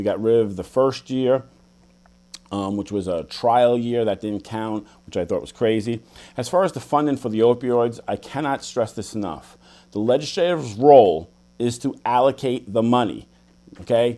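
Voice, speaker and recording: A man with a New York accent speaks in a dark, mellow tone at medium pitch, moderate pace and ordinary pitch variation, on a very clean recording with a silent background. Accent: New York City. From the Bronx, New York City. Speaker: politician and businessman. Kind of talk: political debate.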